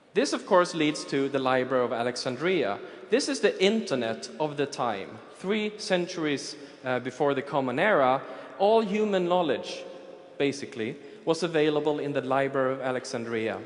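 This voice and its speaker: A man with a fairly high pitch and lively intonation speaks at a moderate pace with audible room echo. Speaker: futurist. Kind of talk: conference talk. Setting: stage with audience.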